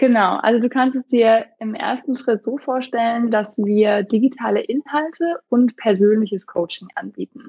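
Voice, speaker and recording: With an ordinary speaking voice, a woman talks at a moderate pace and a fairly high pitch, using ordinary pitch variation and hardly any pauses. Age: 30s. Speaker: startup founder, parenting coach. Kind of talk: interview.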